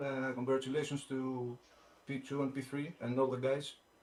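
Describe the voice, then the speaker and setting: The man speaks at a medium pitch in a monotone, flat way. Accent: non-native. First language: not English. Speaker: sim racing driver, race winner. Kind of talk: post-race interview. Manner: halting, many hesitations.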